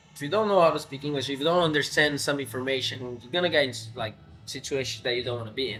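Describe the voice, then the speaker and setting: Through noticeable background noise, a man with an American accent talks at a very fast pace in a fairly high pitch, with ordinary pitch variation and big swings in loudness. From Brazil, São Paulo. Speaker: professional footballer. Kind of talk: podcast interview.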